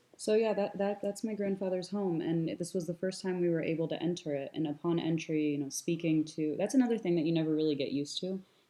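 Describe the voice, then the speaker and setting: A woman speaks at a very fast pace in an American accent. Her pitch is fairly low, with ordinary pitch variation. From US. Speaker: Palestinian American traveler presenting trip photos. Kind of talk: presentation with discussion. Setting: live talk at an institute.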